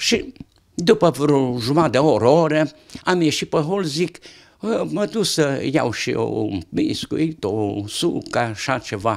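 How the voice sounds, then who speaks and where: Over a quiet background, a man speaks at a very slow pace with vocal fry. His pitch is fairly high and swings very widely. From Romania, Satu Mare county (Tășnad area); Romania. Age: 80s+. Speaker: retired interviewee sharing life stories; interviewee. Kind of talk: casual chat. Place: home room. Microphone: handheld.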